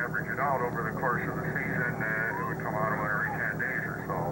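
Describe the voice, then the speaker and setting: A man's voice against loud background noise. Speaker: tour boat guide. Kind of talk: tour commentary. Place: boat.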